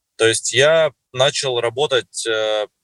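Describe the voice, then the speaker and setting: A man speaks with a dry, close sound and no echo. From Russia, Surgut. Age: 30s. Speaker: network marketing distributor. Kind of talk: interview.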